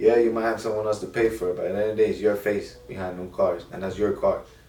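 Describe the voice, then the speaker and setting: A man talks at a very fast pace in a fairly low pitch. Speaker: car rental business owner, YouTuber. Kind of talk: casual advice monologue.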